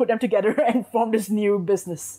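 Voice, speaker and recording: This woman has a Singaporean accent and a medium pitch. She talks at a moderate pace. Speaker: marketing agency owner. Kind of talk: interview.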